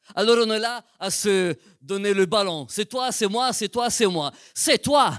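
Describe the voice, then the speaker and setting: A man speaks at a high pitch. The recording is very clean with a silent background, and the sound is dry and close with no echo. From Italian-speaking Switzerland. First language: Italian (speaking French). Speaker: pastor. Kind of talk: sermon. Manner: slow, careful.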